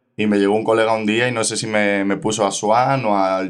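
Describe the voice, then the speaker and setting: At a moderate pace comes a plain, everyday voice. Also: man. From Spain, Ávila. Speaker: rapper. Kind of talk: casual chat.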